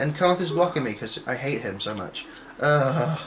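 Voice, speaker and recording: Through noticeable background noise and audible room echo, a man with a fairly high pitch talks at a moderate pace with lively intonation. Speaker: gaming video creator. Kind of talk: gameplay commentary.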